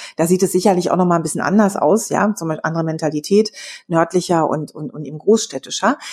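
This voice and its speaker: Her voice fairly low in pitch, a woman talks at a very fast pace in an animated tone, with big swings in loudness. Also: ordinary pitch variation. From Berlin, Germany. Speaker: podcast co-host on sales. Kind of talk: casual chat.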